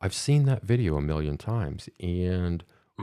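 In a Midwestern American accent, a man speaks at a fairly slow pace with a very deep, low pitch and a dark, mellow tone. His intonation is lively, and the recording is very clean with a silent background. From US Midwest. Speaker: podcast host. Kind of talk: casual interview. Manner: halting.

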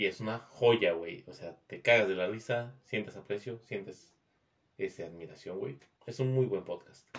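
The man's voice sits at a fairly low pitch. He speaks at a fairly slow pace with ordinary pitch variation. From Mexico. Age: 20s. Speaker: podcast guest. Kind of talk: casual chat.

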